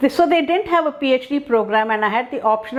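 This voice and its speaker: With lively intonation, a woman talks while noticeable background noise sounds behind her. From India. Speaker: professor of speech and hearing sciences. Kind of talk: interview storytelling. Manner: many fillers and hesitations.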